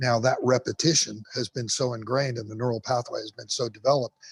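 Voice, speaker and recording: A man speaks at a very fast pace in a medium pitch, somewhat breathy. The sound is dry and close, with no echo. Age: 60s. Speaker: firefighter and motivational speaker. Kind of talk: podcast interview. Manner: repetitive, halting restarts.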